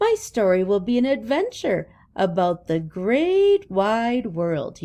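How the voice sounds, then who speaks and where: A woman puts on a character voice. She speaks at a fairly slow pace and a fairly high pitch. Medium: read story.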